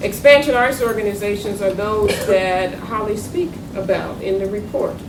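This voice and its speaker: A woman's medium-pitched voice in a Southern US accent, with lively intonation, audible room echo and noticeable background noise. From North Carolina, US South. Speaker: arts funding consultant, former federal arts official. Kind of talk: panel talk.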